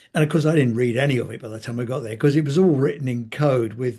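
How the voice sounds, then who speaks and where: Over a quiet background, a man with an English accent talks at a very fast pace in a dark, mellow, somewhat breathy voice with ordinary pitch variation. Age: 80s+. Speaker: healthcare commentator. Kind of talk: interview.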